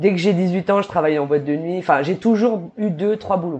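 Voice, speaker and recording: A woman with an ordinary speaking voice, fairly low pitch and moderate pace. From New Caledonia. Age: 30s. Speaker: entrepreneur. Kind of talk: interview.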